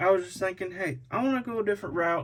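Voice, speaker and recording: A man's voice comes across somewhat breathy. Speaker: scale model truck builder, YouTuber. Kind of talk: casual video commentary. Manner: halting, repeats words.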